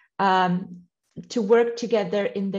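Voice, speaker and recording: Her voice has a dark, mellow tone and is somewhat breathy. This woman speaks at a medium pitch with fairly even intonation. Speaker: NGO representative. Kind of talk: conference presentation. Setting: conference with interpreters.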